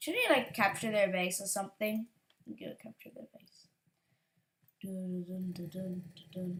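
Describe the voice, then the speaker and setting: Speaking at a fairly slow pace with long, frequent pauses, a woman at medium pitch shows ordinary pitch variation and big swings in loudness. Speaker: gaming youtuber. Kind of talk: gameplay commentary. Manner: halting; quiet.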